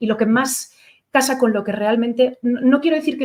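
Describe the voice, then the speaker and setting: A woman's voice at a fairly quick pace, with ordinary pitch variation. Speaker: lecturer on literature. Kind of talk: lecture. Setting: lecture hall with audience, streamed. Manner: fast; hesitant, many fillers.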